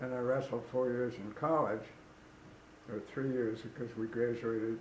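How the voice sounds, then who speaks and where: Flat, monotone delivery from a man of medium pitch at a moderate pace, over noticeable background noise. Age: 90s. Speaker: runner and paddler. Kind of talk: interview answer. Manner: hesitant.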